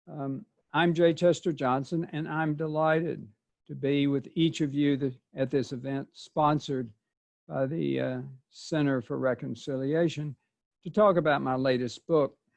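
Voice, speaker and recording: A man with a slight Mississippi Delta accent talks at a fairly high pitch with fairly even intonation. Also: moderate pace. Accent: slight Southern, Mississippi Delta. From US South, southeast Arkansas. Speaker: author and poet. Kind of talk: prepared presentation. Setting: video call.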